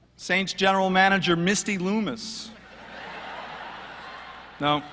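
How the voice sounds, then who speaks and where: Speaking in a raised, projected voice, a man with a high pitch talks at a fairly slow pace with ordinary pitch variation. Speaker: sports radio sideline reporter. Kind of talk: roast speech at live event.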